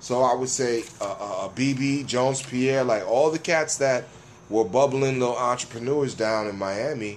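With an American accent, a man speaks at a medium pitch and a fairly slow pace, his intonation fairly even, against noticeable background noise. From New York, Jamaican family. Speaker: rapper. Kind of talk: casual chat.

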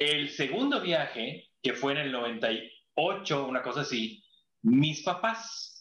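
This man speaks very slowly, with a Mexican accent and a fairly high pitch. His tone is bright and sharp. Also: lively intonation. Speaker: former tour guide. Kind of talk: casual chat.

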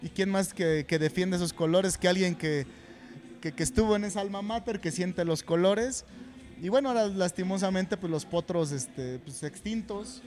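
With a central Mexican accent, a high-pitched man speaks at a moderate pace with ordinary pitch variation. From central Mexico (State of Mexico). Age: 40s. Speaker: football coach. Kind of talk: casual interview. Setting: restaurant venue.

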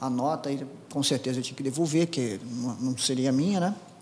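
A man talks with ordinary pitch variation. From Brazil, interior of Paraná (Apucarana). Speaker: air force colonel, helicopter pilot. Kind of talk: interview. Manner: halting, many fillers and repetitions.

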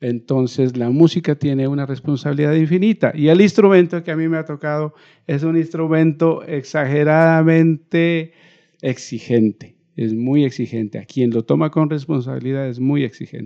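A man speaks at a moderate pace in a normal speaking voice. His pitch is fairly high, with ordinary pitch variation. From Colombia, Nariño (Ipiales). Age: 50s. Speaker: musician. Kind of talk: interview.

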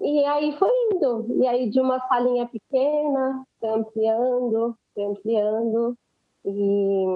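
A woman is speaking. Her pace is very slow. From Brazil, Guarulhos (São Paulo). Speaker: dancer and choreographer. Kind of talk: podcast interview.

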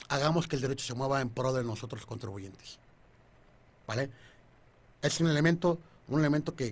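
A man's voice sits at a medium pitch and is somewhat breathy. His intonation stays fairly even. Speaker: tax law radio host. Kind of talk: legal explainer on radio. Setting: radio studio, live. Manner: stammering, repeats words; joking, informal.

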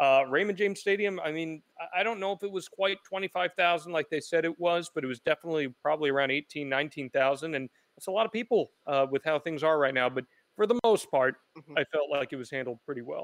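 Speaking at a very fast pace, a man with an American accent has a fairly high pitch. The sound is dry and close, with no echo. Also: ordinary pitch variation. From New Jersey. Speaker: wrestling reporter and podcast host. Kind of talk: radio interview.

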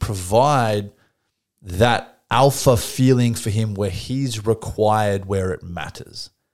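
A man with a plain, everyday voice, medium pitch and ordinary pitch variation, big swings in loudness, in a very clean recording with a silent background. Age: 30s. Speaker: podcast co-host. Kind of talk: casual chat.

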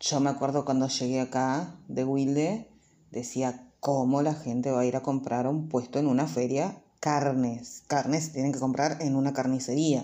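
With a Rioplatense accent, a woman with a very deep, low pitch and a dark, mellow tone speaks at a fairly slow pace, her intonation fairly even and her loudness very even. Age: 30s. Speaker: YouTuber. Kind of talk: casual vlog monologue.

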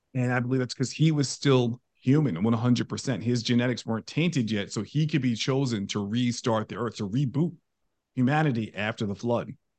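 In a plain, everyday voice with an American accent, a man talks at a fairly quick pace, medium in pitch with ordinary pitch variation. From New York. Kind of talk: interview.

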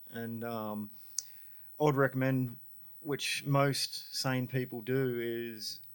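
The speech comes in an Australian accent with monotone, flat intonation. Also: man. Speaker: music promoter. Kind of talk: casual chat.

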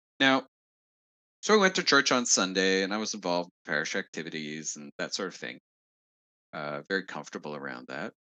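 A man with a Montreal accent talks at a fairly quick pace in a very deep, low voice, his tone bright and sharp, and his intonation lively with big swings in loudness. Long, frequent pauses break up his speech against a quiet background. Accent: Anglophone Montreal Canadian English. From Quebec, Montreal West Island. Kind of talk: interview answering questions.

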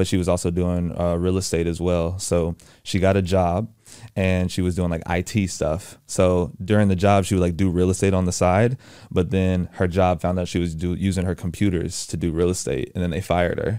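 A man with an American accent speaks at a moderate pace in a very deep, low pitch. His tone is dark and mellow, and his intonation stays monotone and flat. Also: very clean recording, silent background. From Texas, Houston. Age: 20s. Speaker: entrepreneur. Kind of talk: interview. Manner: casual.

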